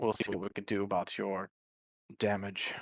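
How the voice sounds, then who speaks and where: This raspy put-on character voice from a man sits at a fairly low pitch, delivered in a monotone, flat way at a moderate pace, dry and close with no echo in a very clean recording with a silent background. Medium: actual play. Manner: patient, sighing.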